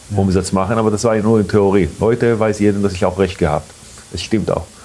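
There is noticeable background noise. A man with a fairly low pitch speaks at a moderate pace. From Israel. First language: Hebrew (speaking German). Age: 40s. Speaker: restaurant owner. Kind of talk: interview. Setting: in a restaurant. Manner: halting.

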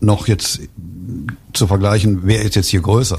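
Here a man talks with a fairly low pitch. The intonation he uses is fairly even. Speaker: book author. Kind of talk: radio interview. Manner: halting, many fillers and restarts.

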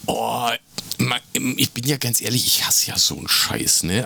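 Noticeable background noise sits behind the voice. A man speaks with lively intonation. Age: 50s. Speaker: podcast co-host. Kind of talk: casual chat.

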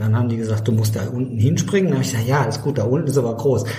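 The man's pitch sits in the medium range. Audible room echo surrounds his voice. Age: 60s. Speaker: ultrarunner and author. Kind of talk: casual chat.

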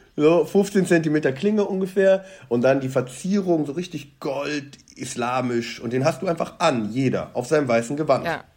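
A man's plain, everyday voice, fairly high-pitched, with ordinary pitch variation, a moderate pace and hardly any pauses. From Bonn, western Germany. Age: 30s. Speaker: news editor. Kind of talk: casual interview.

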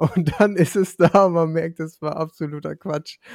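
Recorded dry and close with no echo, in a very clean recording with a silent background, a man speaks at a fairly slow pace with fairly even intonation. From Lower Franconia, Germany. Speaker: podcast co-host. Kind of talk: casual interview.

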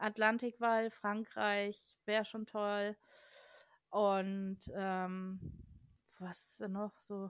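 On a very clean recording with a silent background, a woman speaks at a very slow pace and medium pitch, in a monotone, flat intonation with big swings in loudness and long, frequent pauses. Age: 30s. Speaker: urban explorer and photographer. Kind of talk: casual chat.

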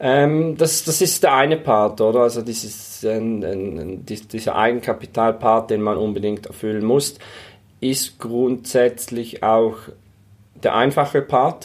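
A man's medium-pitched voice, ordinary pitch variation, fairly slow pace. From St. Gallen, eastern Switzerland. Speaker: real estate investor and fiduciary advisor. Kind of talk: interview. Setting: in person in St. Gallen. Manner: halting, many fillers and repetitions.

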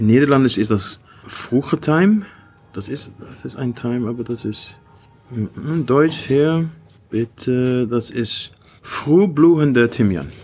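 Here a man talks at a very slow pace. He leaves long, frequent pauses. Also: medium pitch for a man, lively intonation. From Iceland, Icelandic mother and Dutch father. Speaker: gin distiller and artist. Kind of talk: interview with tasting. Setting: hotel bar. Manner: halting, repeating words; switching between German and English.

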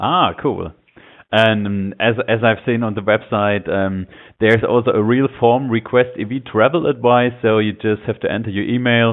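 A man with a German accent, medium pitch and fairly even intonation. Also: moderate pace. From Germany. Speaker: podcast host. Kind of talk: interview. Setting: phone call.

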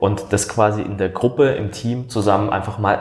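A man's somewhat breathy voice carries this clip. He talks fairly slowly, with ordinary pitch variation. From Baden, southern Germany. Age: 30s. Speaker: coach. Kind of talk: interview conversation. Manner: hesitant, many fillers.

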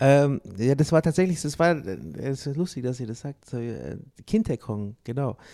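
Heard on a very clean recording with a silent background, a man with a dark, mellow tone and a fairly high pitch speaks fairly slowly with ordinary pitch variation, long, frequent pauses and big swings in loudness. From Bavaria, Manching near Ingolstadt. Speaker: jazz trumpeter. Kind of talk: interview. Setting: backstage at a cultural venue.

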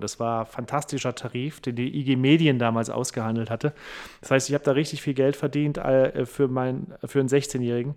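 A man talks at a moderate pace with fairly even intonation and a medium pitch. It is an unremarkable speaking voice, set against a quiet background. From Saarland, near French border. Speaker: comedian and radio host. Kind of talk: casual interview.

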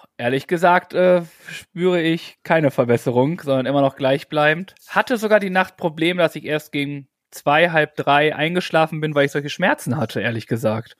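A man with an unremarkable speaking voice talks at a fairly high pitch and a moderate pace, with ordinary pitch variation and a dry, close sound with no echo. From German village. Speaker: podcast co-host. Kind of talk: casual chat.

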